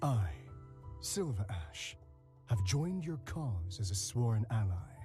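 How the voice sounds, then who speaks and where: Breathy and fairly low-pitched, a man in a put-on character voice speaks at a fairly slow pace with very wide pitch swings while clear music plays in the background. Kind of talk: lowered.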